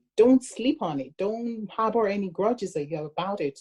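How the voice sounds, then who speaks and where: A woman's dark, mellow tone, somewhat breathy, at a fairly slow pace. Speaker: relationship podcast co-host. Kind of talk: casual chat. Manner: excitable, animated.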